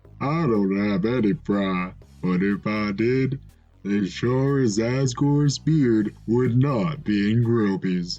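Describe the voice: A man puts on a character voice at a medium pitch and a fairly slow pace, with faint music in the background.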